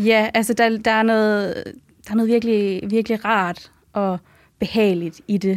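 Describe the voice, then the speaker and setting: A woman's fairly high voice at a fairly slow pace, with monotone, flat intonation and very even loudness. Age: 20s. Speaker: medical student. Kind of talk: casual interview.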